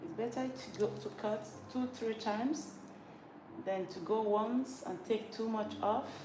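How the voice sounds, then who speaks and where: Amid noticeable background noise and audible room echo, a woman talks at a fairly slow pace and fairly high pitch with ordinary pitch variation. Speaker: hairdresser. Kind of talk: live tutorial while working.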